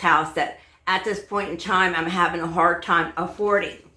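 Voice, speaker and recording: At a fairly slow pace, a woman with a bright, sharp tone speaks with fairly even intonation amid audible room echo. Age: 70s. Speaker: home cleaning vlogger. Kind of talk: casual vlog talk. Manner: halting, many fillers.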